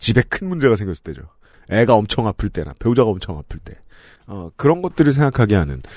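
A man with a fairly low pitch talks at a fairly quick pace with very wide pitch swings. The very clean recording has a silent background and a dry, close sound with no echo. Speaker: podcast host. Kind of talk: casual chat.

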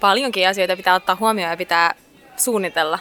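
Medium-pitched female speech, with pitch that varies in an ordinary way. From Finland. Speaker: singer. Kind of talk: interview. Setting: cafe in a library. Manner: halting.

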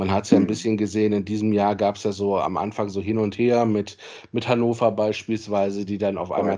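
Flat and monotone, a man with a fairly low voice speaks at a very fast pace. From Solingen, western Germany. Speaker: football club general manager and lawyer. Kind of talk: interview.

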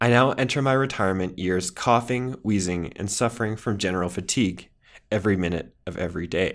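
In an ordinary speaking voice, a man talks at a fairly quick pace with a fairly low pitch and ordinary pitch variation. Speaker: podcast host. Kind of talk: scripted narration. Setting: studio.

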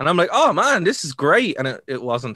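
A man with a Dublin accent, very fast delivery, very wide pitch swings, vocal fry and a bright, sharp tone over a quiet background. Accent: Irish (Dublin). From Ireland. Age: 30s. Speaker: wrestling podcast co-host. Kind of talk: casual chat.

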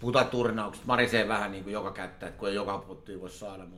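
Over noticeable background noise, a man talks at a very fast pace. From Helsinki, Finland. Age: 40s. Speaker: poker player and market trader. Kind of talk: interview. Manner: loud.

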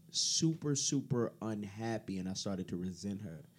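A plain, everyday voice at a moderate pace, with lively intonation. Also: man. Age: 30s. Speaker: podcast guest. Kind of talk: casual chat.

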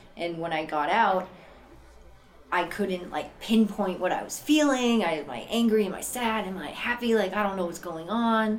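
A woman's medium-pitched voice with an American accent, ordinary pitch variation and a moderate pace, with audible room echo and noticeable background noise. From Boston, Massachusetts. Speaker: person in addiction recovery. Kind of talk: personal testimony. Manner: casual, many fillers.

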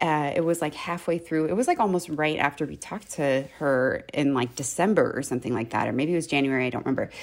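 A woman's very deep, low voice with an American accent, at a very fast pace with hardly any pauses and ordinary pitch variation. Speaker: teacher and podcast co-host. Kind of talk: casual chat. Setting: at home, remote recording.

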